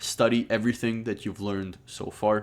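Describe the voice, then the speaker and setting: At a fairly slow pace, a man speaks on a very clean recording with a silent background. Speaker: trading course teacher. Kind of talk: tutorial.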